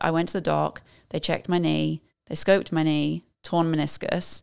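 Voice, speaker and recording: The recording is very clean, with a silent background. A woman speaks at a moderate pace. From southern England. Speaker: amateur marathon runner. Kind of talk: podcast interview. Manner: uses many fillers like um and uh.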